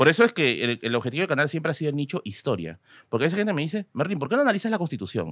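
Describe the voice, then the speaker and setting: At a very fast pace, a man with a fairly high pitch and vocal fry swings his pitch very widely. The sound is dry with no echo against a quiet background. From Peru, Tacna; Peru. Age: 30s. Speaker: history content creator. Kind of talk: casual chat. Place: studio. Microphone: studio mic.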